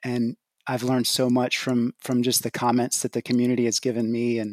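A man with a Texan accent speaks fairly quickly in a flat monotone, on a very clean recording with a silent background. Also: dry, close sound with no echo. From Texas. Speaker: podcast listener and investor. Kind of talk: casual chat. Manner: halting.

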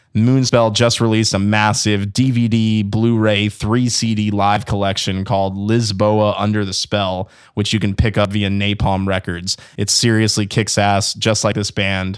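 An unremarkable speaking voice moves at a moderate pace with hardly any pauses. The recording is very clean, and the background is silent. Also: man, fairly low pitch for a man. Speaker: radio podcast host. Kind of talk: casual interview and announcements. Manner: upbeat, casual.

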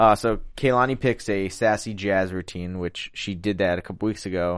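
A man with a Philadelphia accent and a fairly low pitch, moderate pace, quiet background. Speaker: after-show host. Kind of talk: casual chat recapping a TV show. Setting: studio.

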